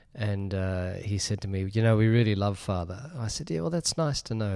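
A man with an Australian accent, fairly low and dark, mellow in tone, fairly quick, with ordinary pitch variation on a very clean recording against a silent background. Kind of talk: interview discussion. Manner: hesitant, filler-heavy.

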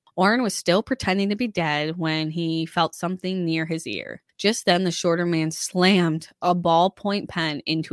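A woman with an unremarkable speaking voice, fairly low in pitch with ordinary pitch variation, talks at a moderate pace with hardly any pauses, in a dry, close sound with no echo on a very clean recording with a silent background. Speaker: true crime podcaster. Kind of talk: true-crime narration. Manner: measured, serious storytelling; conversational, informal.

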